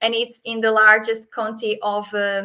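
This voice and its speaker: Delivered at a fairly slow pace with a Portuguese accent, the speech has a bright, sharp tone and monotone, flat intonation. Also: woman. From Portugal. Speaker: hotel sales manager. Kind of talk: webinar presentation. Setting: video call webinar. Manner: hesitant, many fillers.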